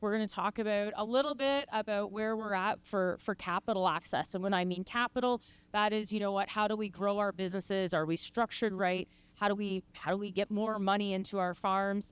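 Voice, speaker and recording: A woman with a Canadian accent speaks at a fairly quick pace and medium pitch, her intonation fairly even. The recording is very clean, dry and close, with a silent background and no echo. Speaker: farm management consultant. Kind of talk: conference talk. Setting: stage with audience. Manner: fast.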